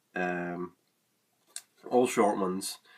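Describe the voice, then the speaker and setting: A man's very deep, low voice in a Scottish accent, with ordinary pitch variation. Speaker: music reviewer. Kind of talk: casual review monologue. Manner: hesitant, many fillers.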